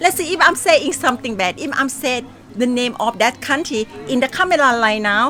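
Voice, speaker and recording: With music in the background, a woman speaks at a moderate pace in a high pitch with lively intonation. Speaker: carer. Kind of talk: interview answer.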